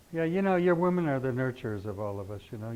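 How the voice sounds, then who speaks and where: A man speaks at a moderate pace with lively intonation and a dark, mellow tone. There is audible room echo. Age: 70s. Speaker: astrology teacher. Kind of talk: lecture. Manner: animated.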